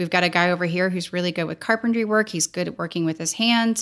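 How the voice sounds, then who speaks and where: Using an unremarkable speaking voice, a woman with an American accent talks at a fairly low pitch with fairly even intonation. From US Midwest, St. Louis, Missouri. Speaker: filmmaker and foundation co-founder. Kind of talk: interview conversation.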